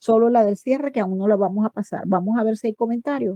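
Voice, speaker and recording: Here is a woman with a fairly high pitch, speaking at a moderate pace in a normal speaking voice. The sound is dry and close, with no echo. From Venezuela. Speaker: psychologist. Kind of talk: online talk. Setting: online voice chat on a messaging app.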